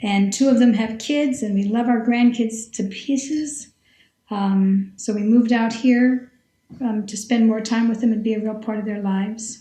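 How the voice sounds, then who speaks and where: A woman speaks in a plain, everyday voice at a fairly high pitch. Her pace is moderate and her intonation fairly even. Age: 60s. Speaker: retired scientist and teacher, long-distance hiker. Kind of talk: podcast interview.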